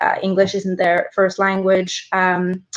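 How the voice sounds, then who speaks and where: Speaking at a moderate pace, a woman talks in a medium pitch. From Norway. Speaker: student union presidential candidate. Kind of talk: election debate answer. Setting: online stream.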